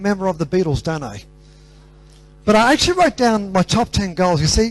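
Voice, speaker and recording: With music in the background, a man with an Australian accent speaks at a high pitch and a fairly quick pace. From Australia, Greek parents. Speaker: motivational speaker. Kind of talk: motivational talk.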